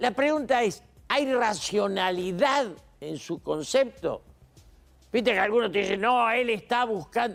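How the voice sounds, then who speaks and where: A high-pitched man's voice at a fairly slow pace, with lively intonation and music in the background. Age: 80s+. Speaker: political commentator. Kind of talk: TV interview.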